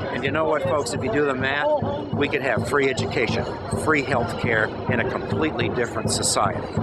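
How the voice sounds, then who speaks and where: A man talks over background music, and the sound is dry with no echo. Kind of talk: street speech to camera. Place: street. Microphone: phone near.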